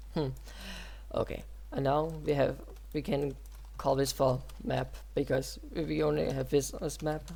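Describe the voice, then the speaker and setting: The speaker talks at a moderate pace, broken by long, frequent pauses. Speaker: game development tutorial creator. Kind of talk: tutorial. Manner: halting.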